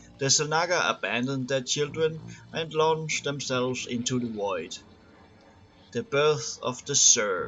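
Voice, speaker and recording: Fairly high-pitched man with a non-native accent, fairly slow pace and ordinary pitch variation, music playing in the background. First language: not English. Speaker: gamer reading game lore. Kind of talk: reading aloud. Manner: halting, stumbles over long words.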